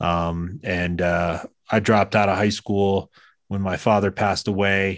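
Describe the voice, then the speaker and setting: A man with an American accent and an unremarkable speaking voice, fairly low in pitch, at a moderate pace over a quiet background. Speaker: veteran and peace organization director. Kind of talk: radio interview.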